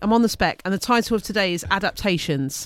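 A woman speaks at a fairly quick pace with lively intonation and an English accent, in a very clean recording with a silent background. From UK. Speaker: science teacher. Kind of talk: casual educational chat. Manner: loud; laughs often.

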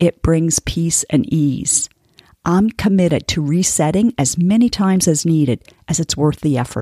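In a plain, everyday voice, a woman speaks at a fairly slow pace with a fairly low pitch and lively intonation, the sound dry and close with no echo. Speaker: weight loss coach and podcast host. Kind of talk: motivational monologue.

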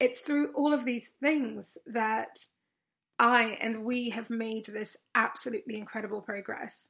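Fairly slow speech from a woman, her pitch fairly high. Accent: English. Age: 30s. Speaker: podcast host and coach. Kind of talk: solo podcast monologue. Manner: animated.

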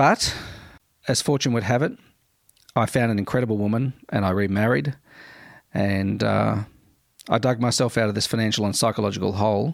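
A man with an Australian accent speaks at a fairly low pitch, with ordinary pitch variation and very even loudness. He leaves long, frequent pauses. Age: 40s. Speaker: podcast host. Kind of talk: casual monologue. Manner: hesitant with many fillers.

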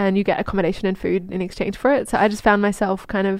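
A woman at medium pitch with an Australian accent. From Australia, Queensland. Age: 30s. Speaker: herbalist. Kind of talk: casual chat.

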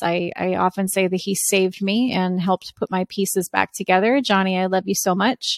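A woman speaks at a medium pitch and a moderate pace. The sound is dry and close with no echo, recorded very cleanly over a silent background. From US East Coast, Italian-American. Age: 30s. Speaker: podcast host and MS advocate. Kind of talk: solo podcast monologue. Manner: animated.

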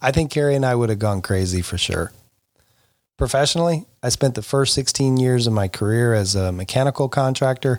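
A man with an American accent and an unremarkable speaking voice talks at a fairly quick pace in a medium pitch. His pitch varies in an ordinary way, and the recording is very clean with a silent background. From Florida. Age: 50s. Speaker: podcast host, youth soccer club director. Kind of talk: solo podcast monologue.

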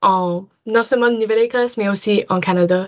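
Speaking with an English accent, a woman holds a medium pitch in flat, monotone intonation. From Nova Scotia (Dartmouth, Halifax area). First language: English (speaking French). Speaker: university student. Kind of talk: casual interview.

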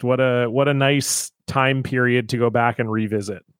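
In a Canadian accent, a man uses a normal speaking voice at medium pitch with ordinary pitch variation, on a very clean recording with a silent background. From Ontario, Canada. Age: 30s. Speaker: comedian. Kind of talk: casual chat.

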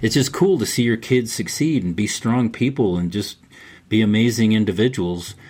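A man with an ordinary speaking voice talks at a medium pitch and moderate pace, with ordinary pitch variation. The recording is very clean, with a silent background. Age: 60s. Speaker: men's mentor and grandfather. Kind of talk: casual interview conversation.

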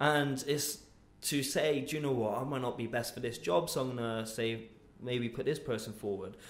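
A man speaks at medium pitch and a moderate pace, with ordinary pitch variation. Audible room echo surrounds his voice. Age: 20s. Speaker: podcast host. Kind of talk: casual interview. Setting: office studio room.

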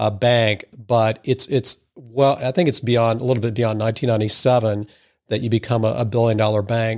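A man with an American accent speaks in a normal speaking voice at a medium pitch. His pace is moderate, and the recording is very clean with a silent background. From Missouri (Madison). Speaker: podcast host. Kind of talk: interview.

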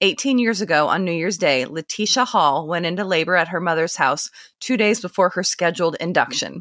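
A woman in an ordinary speaking voice at a fairly quick pace, on a very clean recording with a silent background. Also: fairly low pitch for a woman, ordinary pitch variation. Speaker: podcast host. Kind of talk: casual interview.

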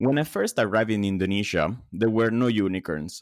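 The voice moves at a moderate pace with ordinary pitch variation, captured in a very clean recording with a silent background and a dry, close sound with no echo. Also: man. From Italy. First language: Italian. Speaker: recruitment firm founder. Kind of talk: interview.

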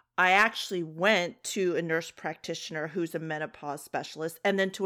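Her voice is a normal speaking voice, fairly low in pitch for a woman with ordinary pitch variation, on a very clean recording with a silent background. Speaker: podcast host. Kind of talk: casual chat.

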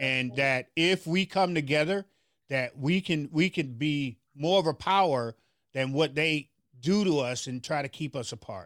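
A man with an American accent speaks in a plain, everyday voice, fairly high in pitch with ordinary pitch variation, at a fairly slow pace. The sound is dry and close with no echo, on a very clean recording with a silent background. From US South, Memphis, Tennessee. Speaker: pastor and community activist. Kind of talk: interview.

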